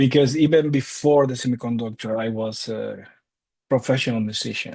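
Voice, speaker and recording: In a Cuban accent, a man speaks at a moderate pace with a medium pitch and fairly even intonation. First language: Spanish. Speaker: data science instructor. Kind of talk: interview. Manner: hesitant, with fillers and repeats.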